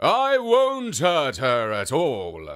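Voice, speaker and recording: In a very clean recording with a silent background, a man puts on a character voice at a high pitch. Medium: read story.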